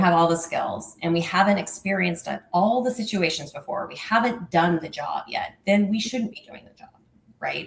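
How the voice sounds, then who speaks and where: A woman's voice, fairly quick, with ordinary pitch variation. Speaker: nonprofit finance executive. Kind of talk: interview. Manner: fast.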